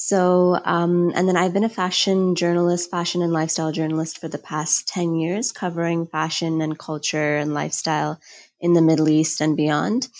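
Speaking in a normal speaking voice with an American accent, a woman talks at a moderate pace with a fairly low pitch, fairly even intonation, and hardly any pauses, in a very clean recording with a silent background. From United States. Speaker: fashion journalist and author. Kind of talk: interview.

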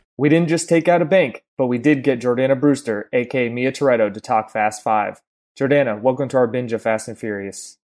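Ordinary pitch variation and a fairly quick pace in a normal speaking voice. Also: man, medium pitch for a man. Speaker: podcast host. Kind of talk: casual conversational podcast. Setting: video call.

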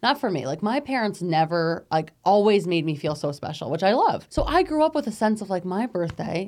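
A woman with an American accent and a medium pitch speaks at a fairly quick pace with hardly any pauses and very wide pitch swings, in a very clean recording with a silent background. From Capital Region, New York. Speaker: non-profit executive director. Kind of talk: interview.

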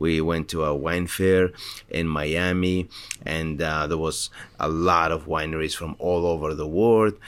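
The man's pitch is very deep and low. He speaks fairly slowly in a flat, monotone way. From Spain. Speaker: winery owner. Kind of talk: interview. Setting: winery. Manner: halting.

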